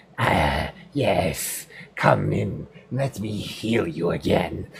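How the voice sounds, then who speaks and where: A man uses a put-on character voice, pitched very deep and low. It sounds strained and moves at a very slow pace. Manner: warm, inviting.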